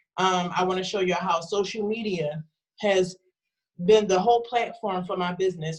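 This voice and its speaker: At a moderate pace, a woman speaks with a medium pitch. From North Philadelphia, US. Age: 30s. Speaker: food truck business owner, instructor. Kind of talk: informational talk to students. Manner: casual, animated.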